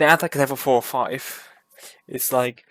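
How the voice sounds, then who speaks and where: A man with a Hungarian accent speaks at a fairly quick pace, the sound dry and close with no echo. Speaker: gaming YouTuber. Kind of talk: casual commentary review.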